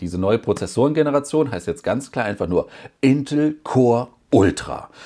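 There is a quiet background behind a man speaking with lively intonation. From Germany. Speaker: tech YouTuber; tech youtuber. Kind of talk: casual vlog report. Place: home room.

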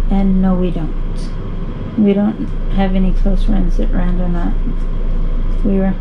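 Against noticeable background noise, a woman speaks fairly slowly in a flat, monotone way. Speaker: YouTube vlogger. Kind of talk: casual Q&A chat, reading questions. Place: home room. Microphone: camera far.

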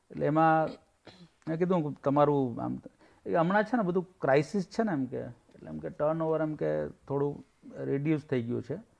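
A man's fairly high-pitched voice with lively intonation, against a quiet background. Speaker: writer and journalist; journalist. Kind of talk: interview. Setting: informal get-together. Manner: soft-spoken. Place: home room. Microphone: lapel.

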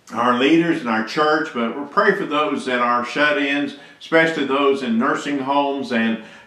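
A man talks with ordinary pitch variation while audible room echo hangs around his voice. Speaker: church pastor. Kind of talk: sermon. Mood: earnest, pastoral. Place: office. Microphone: webcam.

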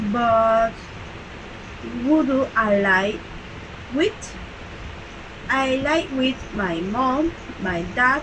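Speaking at a very slow pace with long, frequent pauses, a woman with a Salvadoran accent uses a high pitch and lively intonation over noticeable background noise. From El Salvador. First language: Spanish. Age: 20s. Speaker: bank teller. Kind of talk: self-introduction read aloud. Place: home room. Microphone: webcam.

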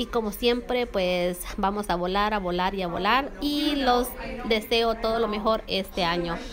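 A woman's fairly high voice at a fairly slow pace, with very even loudness, ordinary pitch variation and noticeable background noise. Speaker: YouTuber reviewing beauty products. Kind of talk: casual product review vlog.

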